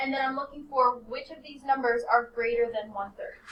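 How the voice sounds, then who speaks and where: Audible room echo hangs around this voice. The woman's pitch is high. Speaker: high school math teacher. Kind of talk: classroom lesson. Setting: classroom.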